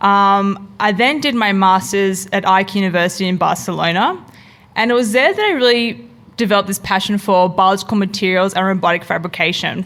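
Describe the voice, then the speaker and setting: With an Australian accent, a woman speaks at a fairly quick pace. Her pitch is medium, with ordinary variation. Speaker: product designer and researcher. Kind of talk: conference talk.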